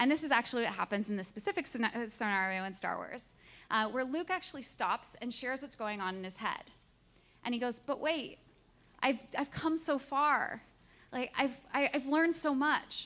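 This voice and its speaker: A woman's high-pitched voice, bright and sharp in tone, with lively intonation. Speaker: conference speaker. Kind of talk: presentation talk. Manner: fast; halting.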